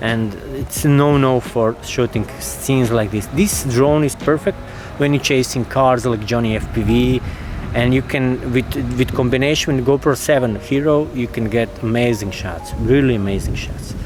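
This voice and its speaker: The voice moves at a moderate pace with ordinary pitch variation. Noticeable background noise runs underneath. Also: man, medium pitch for a man. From Croatia. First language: Croatian. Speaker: drone videographer. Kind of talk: casual gear review. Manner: halting.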